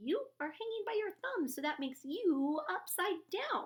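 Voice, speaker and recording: Using a squeaky, put-on character voice, a woman speaks at an extremely high pitch and a moderate pace. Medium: read story. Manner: loud.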